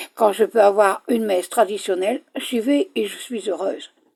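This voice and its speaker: Vocal fry runs through a woman's fairly high voice, which has a dark, mellow tone. She speaks at a moderate pace. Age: 70s. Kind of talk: personal video message. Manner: halting.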